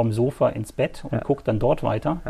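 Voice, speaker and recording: A man speaks at a moderate pace with a dark, mellow tone, a medium pitch and a somewhat breathy quality. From northern Germany, rural Lower Saxony between Hamburg and Bremen. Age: 40s. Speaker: local sports journalist. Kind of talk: casual interview.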